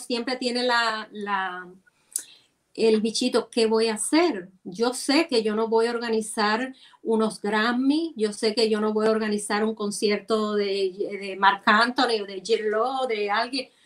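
A woman with a fairly high voice speaks at a very slow pace. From Cuba, Santiago de Cuba. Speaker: music promoter and costume designer. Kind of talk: casual interview conversation.

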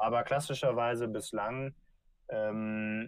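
A man's fairly low-pitched voice at a very slow pace, with fairly even intonation. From Germany, rural North Rhine-Westphalia. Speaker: startup founder. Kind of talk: interview.

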